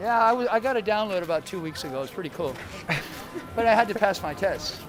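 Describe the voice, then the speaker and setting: A man's high-pitched voice at a very fast pace, lively intonation, long and frequent pauses, and noticeable background noise. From USA, partly raised in Guatemala. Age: 60s. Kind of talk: interview.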